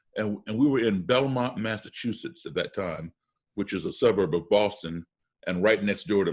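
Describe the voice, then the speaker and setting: Against a quiet background, a man with a plain, everyday voice and an American accent speaks at a moderate pace in a fairly low pitch. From US, childhood partly abroad in embassy postings. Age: 60s. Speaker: musician. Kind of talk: interview. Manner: conversational with self-corrections and repetitions.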